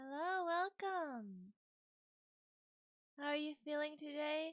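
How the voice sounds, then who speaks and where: Very slow and soft-spoken, a woman talks with a high pitch and lively intonation in a dry, close sound with no echo. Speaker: vtuber streamer. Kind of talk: casual live stream chat. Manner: quiet, soft.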